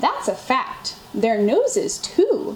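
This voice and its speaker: A woman's put-on character voice at an extremely high pitch, over clear background noise. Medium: read story. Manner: courteous.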